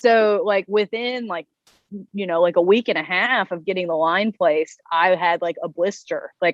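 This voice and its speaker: Delivered at a moderate pace with ordinary pitch variation, the voice carries a Southern US accent. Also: woman, medium pitch for a woman. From US South, North Carolina. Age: 30s. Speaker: interviewee living with chronic illness. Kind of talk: interview.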